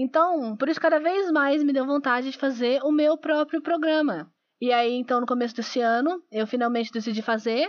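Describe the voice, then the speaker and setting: A woman talks at a fairly quick pace in a high voice with ordinary pitch variation. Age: 20s. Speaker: podcast host, biology student. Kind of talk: casual solo podcast intro. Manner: self-described imperfect diction.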